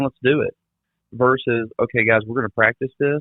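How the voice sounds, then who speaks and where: Talking at a very fast pace, a man uses a medium pitch with ordinary pitch variation. His accent is Mississippi. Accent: Southern US (Mississippi). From US South, south Mississippi. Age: 40s. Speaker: trade industry trainer. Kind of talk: podcast interview. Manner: animated.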